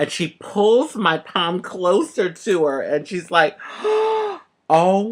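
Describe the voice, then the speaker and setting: A woman talks in an animated tone, her pitch swinging very widely. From Philadelphia, Pennsylvania. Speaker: transgender activist, actress, author. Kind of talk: storytelling to camera. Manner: casual, animated.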